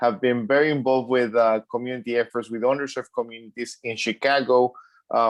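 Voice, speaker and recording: A man speaks very fast in a Mexican accent. His medium pitch stays monotone and flat. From Mexico City. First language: Spanish. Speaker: pediatrician. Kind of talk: panel discussion.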